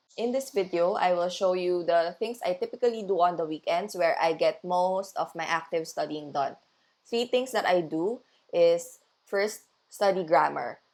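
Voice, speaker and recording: A woman's fairly low voice with a Filipino accent, at a moderate pace with ordinary pitch variation, on a very clean recording with a silent background. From Philippines. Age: 20s. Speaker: language learning vlogger. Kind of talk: study vlog narration.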